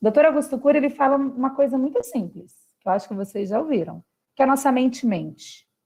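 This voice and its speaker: A woman with a dark, mellow tone speaks fairly quickly at a high pitch, with ordinary pitch variation. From Brazil, São Paulo state. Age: 30s. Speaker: philosopher and socio-emotional education specialist. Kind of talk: talk to school families. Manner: animated.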